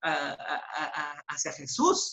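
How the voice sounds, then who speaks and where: A woman's bright, sharp-toned voice. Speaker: church Bible study leader. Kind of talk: closing remarks in a Bible class. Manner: halting, trips over words.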